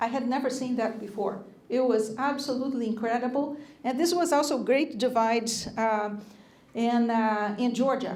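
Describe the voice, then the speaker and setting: Audible room echo surrounds a fairly high-pitched woman. She speaks at a moderate pace with ordinary pitch variation. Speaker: lecturer at a church. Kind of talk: lecture. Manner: hesitant, many fillers.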